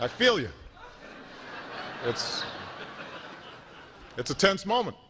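A man with an American accent talks at a fairly slow pace over noticeable background noise. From United States. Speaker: politician. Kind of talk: comedic after-dinner speech. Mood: playful, joking. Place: hall. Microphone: podium.

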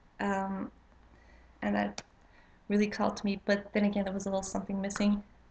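A woman speaks in a Quebec accent with flat, monotone intonation and a somewhat breathy quality. She leaves long, frequent pauses over light background noise. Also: medium pitch for a woman, fairly quick pace. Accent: Québécois French-accented English. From Quebec, Canada. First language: French. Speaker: witchcraft vlogger. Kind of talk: casual vlog intro. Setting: home, late at night. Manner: halting, many fillers. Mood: somewhat nervous, hesitant. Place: home room. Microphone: webcam.

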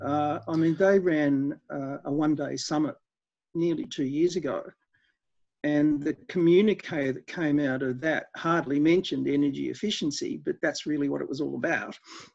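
Against a quiet background, a man with an Australian accent speaks at a moderate pace in a fairly high voice with fairly even intonation. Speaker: energy efficiency expert; guest. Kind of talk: interview. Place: home room. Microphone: headset.

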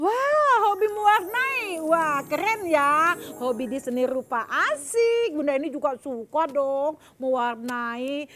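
Very slowly, a woman talks at a high pitch with very wide pitch swings, over light background noise. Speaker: children's TV host. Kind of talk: lively talk to children. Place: studio.

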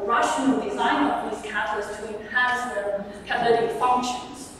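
This woman has a high pitch and fairly even intonation. Strong room echo and light background noise fill the recording. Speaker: conference speaker. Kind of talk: lecture. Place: hall.

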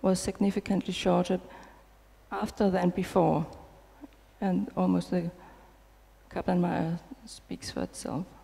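The woman speaks with a Danish accent at a fairly slow pace. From Denmark. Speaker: nurse researcher. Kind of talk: conference talk. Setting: stage with audience. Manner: hesitant with fillers. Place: hall. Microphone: headset.

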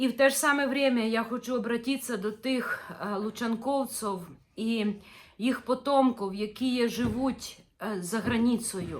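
Speaking at a fairly slow pace, a woman keeps a fairly even intonation. Her pitch is fairly high. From northern Ukraine, village of Luchanky. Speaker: religious video blogger. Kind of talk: impassioned appeal. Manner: earnest, reproachful.

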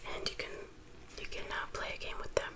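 Whispering, a woman speaks in a relaxed tone. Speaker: ASMR creator. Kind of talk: casual talk to camera. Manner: soft-spoken, relaxed.

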